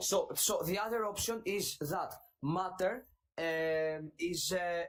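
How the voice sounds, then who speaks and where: Speaking very slowly with a Greek accent, this man has a high voice, ordinary pitch variation and very even loudness. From Greece. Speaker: caller. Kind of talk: debate. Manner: halting.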